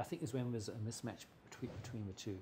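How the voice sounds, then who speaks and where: A man with an English accent, a medium-pitched, somewhat breathy, dark and mellow voice, and a very fast pace. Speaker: mechanical engineer and consultant. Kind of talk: interview. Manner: halting, many repetitions.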